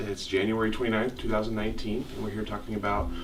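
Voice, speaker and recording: Very fast speech from a man, fairly low in pitch, over noticeable background noise. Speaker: college archivist. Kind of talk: interview questions.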